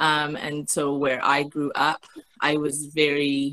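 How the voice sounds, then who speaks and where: A woman with a Canadian accent and a bright, sharp tone. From Canada. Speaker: educational researcher. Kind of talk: webinar presentation and Q&A. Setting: video call webinar.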